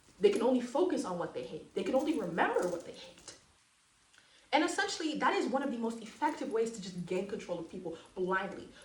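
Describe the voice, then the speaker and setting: A woman's animated, very fast speech at a fairly high pitch, with very wide pitch swings and noticeable background noise. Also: big swings in loudness. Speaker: aspiring counselor and spiritual educator. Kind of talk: monologue lecture to camera.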